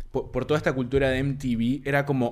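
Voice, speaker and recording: At a moderate pace, a man with a medium pitch speaks in an unremarkable speaking voice. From Uruguay (Montevideo), born in Buenos Aires area. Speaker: podcast co-host. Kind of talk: casual chat.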